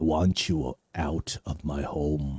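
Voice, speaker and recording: A man's put-on character voice, very deep and low in pitch. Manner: gruff, commanding.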